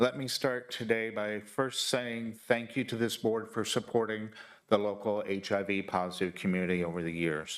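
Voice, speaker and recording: This is an unremarkable speaking voice from a man at a fairly low pitch. He keeps a moderate pace with ordinary pitch variation. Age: 60s. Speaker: public commenter. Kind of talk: public testimony. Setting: county board meeting, hybrid in-person and online.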